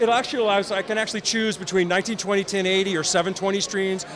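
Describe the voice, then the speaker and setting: Over noticeable background noise, a man talks very fast in a high voice. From Chicago. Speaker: company representative at trade show. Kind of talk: product demo. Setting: trade show floor. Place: hall. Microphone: handheld.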